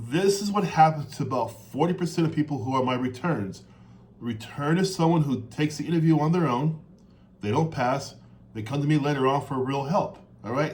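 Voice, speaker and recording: A man's fairly high, somewhat breathy voice at a fairly quick pace, with ordinary pitch variation and audible room echo. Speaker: interview coach. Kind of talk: coaching advice monologue. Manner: fast.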